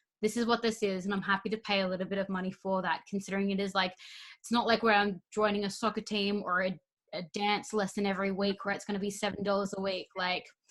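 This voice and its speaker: Speaking with an Australian accent, a woman goes at a very fast pace. Her intonation stays monotone and flat. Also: medium pitch for a woman. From Queensland, Australia. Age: 20s. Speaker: podcast host. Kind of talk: casual chat. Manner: fast, changes course mid-sentence.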